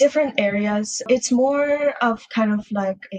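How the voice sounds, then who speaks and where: A plain, everyday voice talks at a fairly slow pace with ordinary pitch variation. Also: woman. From Russia, adopted to US as young child. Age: 20s. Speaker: adoptee sharing her story. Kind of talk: podcast interview. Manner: casual, lots of filler words.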